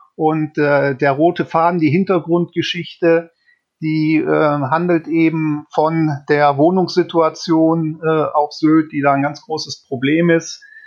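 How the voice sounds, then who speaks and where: Very slowly, a man speaks at a fairly high pitch. His intonation is flat and monotone. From Bergisches Land, western Germany. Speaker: crime novelist. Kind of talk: interview. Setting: remote call.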